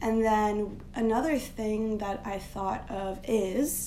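With audible room echo, a woman speaks at a fairly high pitch with fairly even intonation. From Turkey. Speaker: design strategist. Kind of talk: casual interview.

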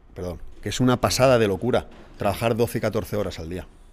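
A man talks at a medium pitch and a moderate pace, with ordinary pitch variation. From Spain, Valencia region (Alzira). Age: 40s. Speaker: teacher and fitness event promoter. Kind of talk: casual interview. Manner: animated.

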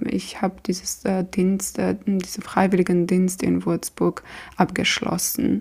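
A woman speaks with a Georgian accent. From Georgia, Tbilisi. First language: Georgian (speaking German). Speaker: doctoral student in clinical psychology. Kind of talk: interview. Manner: halting, many fillers.

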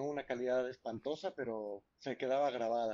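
In an unremarkable speaking voice, a man talks at a fairly slow pace, medium in pitch, with ordinary pitch variation. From Mexico, San Luis Potosí. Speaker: film director. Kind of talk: casual interview.

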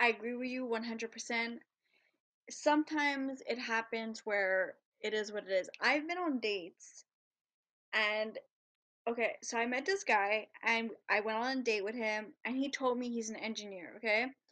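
Fairly slow and animated, a woman speaks at a fairly high pitch in a bright, sharp tone with ordinary pitch variation. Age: 20s. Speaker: podcast host. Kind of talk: casual chat.

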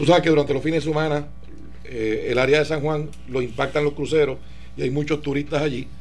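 A man's fairly high, monotone, flat voice with vocal fry at a fairly quick pace. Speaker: political guest. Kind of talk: radio interview.

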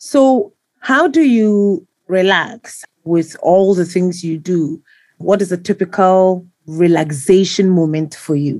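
A woman speaks in a plain, everyday voice, medium in pitch with ordinary pitch variation. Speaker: podcast host and journalist. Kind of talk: interview conversation.

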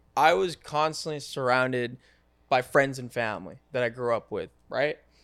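In an unremarkable speaking voice, a man with an American accent talks at a moderate pace and medium pitch with ordinary pitch variation, in a very clean recording with a silent background. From upstate New York. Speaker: entrepreneur. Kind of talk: casual chat.

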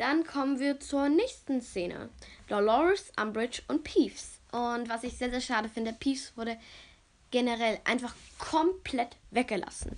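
A woman speaks at a fairly slow pace in a high voice, her pitch varying in an ordinary way. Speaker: podcaster. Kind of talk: casual monologue. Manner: hesitant with many fillers.

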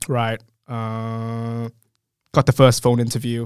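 A man with an Australian accent speaks at a very slow pace in a monotone, flat intonation. The sound is dry and close, with no echo. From Western Australia, Perth and Christmas Island. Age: 30s. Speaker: SEO business owner. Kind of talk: interview conversation. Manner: halting, many fillers.

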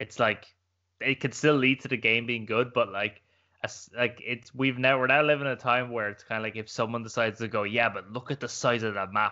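Talking at a fairly quick pace with an Irish accent, a man keeps a medium pitch and fairly even intonation. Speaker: gaming podcast co-host. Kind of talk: casual chat.

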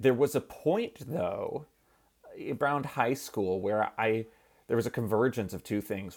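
A man with a plain, everyday voice speaks at a medium pitch and moderate pace with lively intonation. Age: 30s. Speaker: biotech company co-founder and scientist. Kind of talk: interview.

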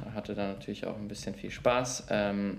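There is audible room echo as a man talks. His voice is fairly low-pitched and his pace moderate. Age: 20s. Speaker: management consultant and YouTuber. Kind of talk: casual chat.

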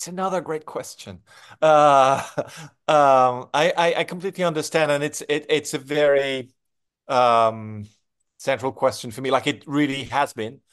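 Over a quiet background, a man talks at a fairly high pitch with a French accent. His pace is fairly slow and his pitch varies in an ordinary way. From France. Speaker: film director. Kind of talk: interview.

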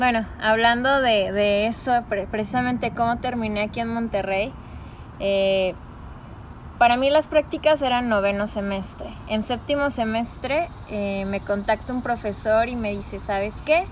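A woman at a fairly high pitch, with ordinary pitch variation and a fairly slow pace, a plain, everyday voice. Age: 20s. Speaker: office worker. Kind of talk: casual interview.

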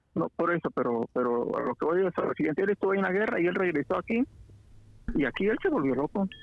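This man has a high voice with very wide pitch swings. He talks very fast at a very even loudness. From Guatemala, Huehuetenango border area near Mexico. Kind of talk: casual chat.

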